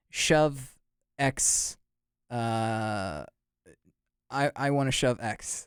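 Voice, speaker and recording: The recording has a dry, close sound with no echo. A man talks at a medium pitch with an American accent. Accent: sounds American. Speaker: podcast host. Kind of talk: casual chat. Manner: halting, many restarts.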